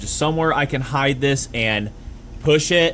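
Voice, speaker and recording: Over noticeable background noise, a man talks at a fairly high pitch with ordinary pitch variation. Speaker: small engine repair youtuber. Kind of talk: tutorial. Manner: rambling, self-interrupting; stuttering.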